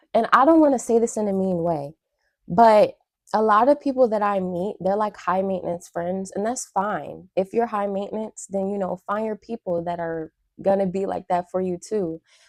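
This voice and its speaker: Dry, close sound with no echo from a woman at medium pitch, with ordinary pitch variation. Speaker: YouTuber reacting to videos. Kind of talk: casual reaction commentary. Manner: fast.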